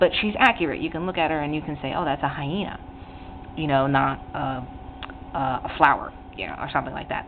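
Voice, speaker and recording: With noticeable background noise behind her, a woman talks at a fairly quick pace in a very deep, low pitch with ordinary pitch variation. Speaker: artist teaching drawing on own channel. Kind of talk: tutorial. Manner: hesitant, many fillers and restarts.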